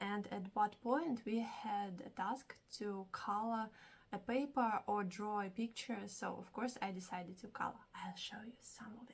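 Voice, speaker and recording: In a non-native accent, a woman speaks fairly slowly at a fairly high pitch, somewhat breathy, with big swings in loudness. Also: ordinary pitch variation. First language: not English. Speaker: hobby vlogger. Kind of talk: casual vlog. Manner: animated.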